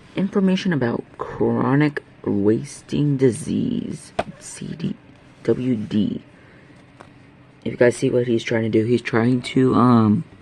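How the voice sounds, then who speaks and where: A man's very slow speech comes through with noticeable background noise behind it. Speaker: video creator. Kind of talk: casual video narration.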